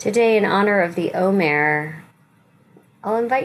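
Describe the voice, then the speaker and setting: This woman has a normal speaking voice at medium pitch. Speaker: rabbi leading weekly meditation. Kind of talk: guided meditation with gentle spiritual teaching. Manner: slow, soothing, softly inviting instructions; warm, reassuring and non-judgmental.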